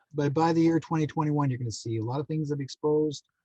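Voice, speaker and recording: A man with a Canadian accent talks at a fairly quick pace with fairly even intonation. His dark, mellow tone is somewhat breathy, with a dry, close sound and no echo. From Manitoba, Canada. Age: 60s. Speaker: psychic medium and contactee. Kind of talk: podcast interview.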